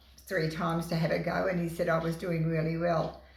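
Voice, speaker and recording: A woman's voice at a moderate pace, with noticeable background noise and audible room echo. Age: 80s+. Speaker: bowls club life member. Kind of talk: interview. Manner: halting.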